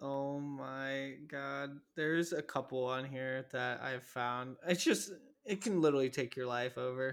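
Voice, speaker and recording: At a medium pitch with fairly even intonation, this man has an ordinary speaking voice. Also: fairly slow pace. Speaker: podcast host. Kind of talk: casual chat.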